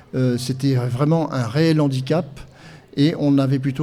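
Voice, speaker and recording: With a dark, mellow tone at medium pitch, a man speaks fairly slowly in a monotone, flat intonation, with audible room echo. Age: 60s. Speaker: blind guide-dog association president. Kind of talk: podcast interview testimony. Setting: live podcast event with audience. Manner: hesitant, many fillers.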